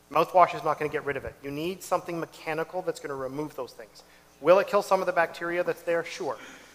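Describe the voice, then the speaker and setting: In a Canadian accent, a man talks at a very fast pace with a high pitch and big swings in loudness. Noticeable noise sits in the background. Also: fairly even intonation. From Ontario, Canada (Whitby). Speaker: dentist. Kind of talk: health workshop talk.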